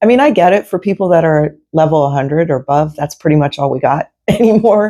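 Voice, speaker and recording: A woman's dark, mellow voice, fairly low in pitch, with lively intonation at a fairly quick pace. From Pennsylvania (Lancaster). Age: 60s. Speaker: amateur cyclist. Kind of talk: casual interview chat.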